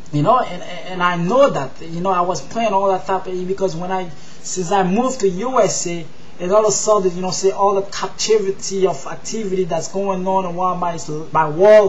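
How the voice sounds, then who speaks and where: A man with a Haitian accent speaks at a moderate pace in a high voice. Noticeable background noise and audible room echo surround him. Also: fairly even intonation. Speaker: religious vlogger. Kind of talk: testimony. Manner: halting, many fillers and restarts.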